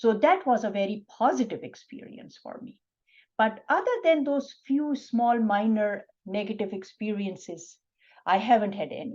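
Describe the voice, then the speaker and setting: Speaking with a Pakistani accent, a woman talks at a moderate pace in a fairly high, somewhat breathy voice, her intonation lively and her loudness swinging widely. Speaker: physician. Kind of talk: interview. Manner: soft-spoken.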